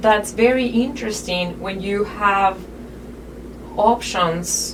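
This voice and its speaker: A woman at a medium pitch with a non-native accent, very slow pace and fairly even intonation, amid audible room echo and noticeable background noise. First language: not English. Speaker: podcast guest. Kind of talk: casual interview chat. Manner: halting, many fillers.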